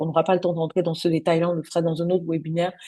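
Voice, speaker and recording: A woman speaks with a fairly low pitch. Her tone is dark and mellow, and somewhat breathy. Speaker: business coach. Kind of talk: webinar presentation. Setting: online webinar. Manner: soft-spoken; hesitant, many fillers.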